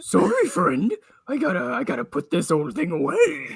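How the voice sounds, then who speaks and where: A man puts on a character voice that is raspy and high in pitch. The act is high-pitched and raspy throughout. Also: moderate pace. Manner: dramatic, weary.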